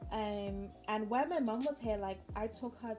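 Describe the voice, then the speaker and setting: With music playing behind her, a woman speaks at a fairly slow pace. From British Virgin Islands. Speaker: beauty vlogger. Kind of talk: casual chat while doing makeup.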